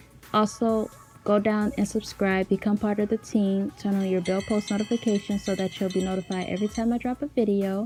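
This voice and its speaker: Music plays in the background as a woman speaks at a fairly quick pace. Her pitch is medium and her intonation monotone and flat. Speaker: YouTuber discussing celebrity conspiracies. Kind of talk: scripted voiceover. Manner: stutters and pauses when unscripted.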